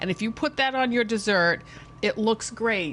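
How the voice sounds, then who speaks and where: Noticeable background noise around a woman speaking at a fairly high pitch. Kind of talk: cooking tutorial.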